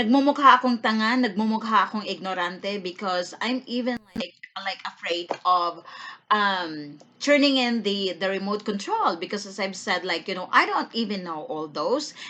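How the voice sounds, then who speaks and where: A woman talks at a moderate pace and medium pitch, with ordinary pitch variation. Noticeable background noise runs behind her. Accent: Filipino. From Philippines. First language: Tagalog. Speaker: vlogger. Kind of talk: casual vlog talk, mixing English and Tagalog. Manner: hesitant, with many fillers and repeated words.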